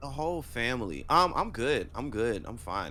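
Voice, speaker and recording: A man talks at a medium speed, and the room gives his voice an audible echo. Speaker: podcast co-host. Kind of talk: casual chat. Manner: loud.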